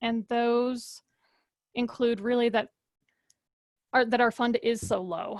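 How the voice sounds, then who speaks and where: At a fairly slow pace, a woman speaks in a high pitch on a very clean recording with a silent background. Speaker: advisory committee member. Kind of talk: committee meeting discussion.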